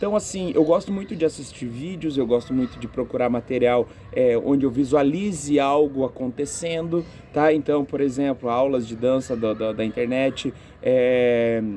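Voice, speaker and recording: Speaking in an ordinary speaking voice, a man holds a medium pitch and a moderate pace, with ordinary pitch variation. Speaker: physical education teacher. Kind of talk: interview answers.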